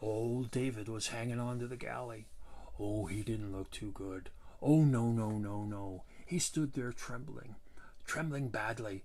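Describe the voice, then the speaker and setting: A man talks at a moderate pace, his pitch medium. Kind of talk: tall tale storytelling. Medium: solo performance. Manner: exaggerated, gleeful, rambling.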